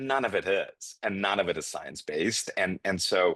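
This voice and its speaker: A man with a non-native accent speaks at a moderate pace and a fairly low pitch. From immigrant to the US as refugee. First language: not English. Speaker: nursing education executive. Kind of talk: podcast interview.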